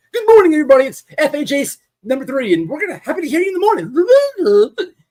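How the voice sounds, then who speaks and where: This is a put-on character voice with a high pitch. It races along at a very fast pace. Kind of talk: overdone, trying-hard announcer.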